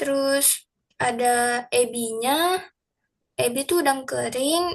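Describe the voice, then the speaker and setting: This woman talks very slowly. Her pitch rises and falls in an ordinary way. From Tangerang, Indonesia. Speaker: student. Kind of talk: group class presentation. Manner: casual, hesitant with fillers.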